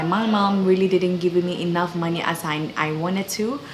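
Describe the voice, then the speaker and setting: Music plays in the background as a woman with a Ghanaian accent talks at a fairly quick pace and medium pitch. Her pitch varies in an ordinary way, and the room echo is audible. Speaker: YouTuber. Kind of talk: testimony. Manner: casual, with fillers.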